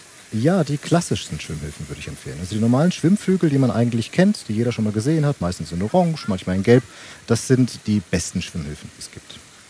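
Amid noticeable background noise, a man talks at a very fast pace with very wide pitch swings and big swings in loudness. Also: medium pitch for a man. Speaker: lifeguard at a swimming pool. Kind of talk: interview, explanatory. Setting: outdoor swimming pool.

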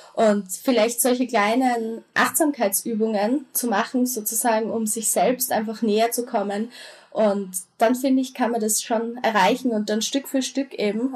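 A somewhat breathy woman at a fairly high pitch, fairly slow in pace, with fairly even intonation. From Austria. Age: 20s. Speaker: social media creator. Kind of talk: interview.

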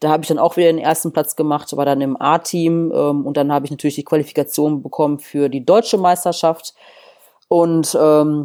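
A woman with a very deep, low pitch and a dark, mellow tone talks fairly quickly with ordinary pitch variation, on a very clean recording with a silent background. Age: 30s. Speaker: bodybuilder and former boxer. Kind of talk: interview.

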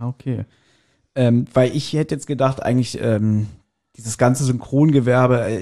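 The voice has a dark, mellow tone and fairly even intonation over a quiet background. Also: man. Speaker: podcast host. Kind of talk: interview.

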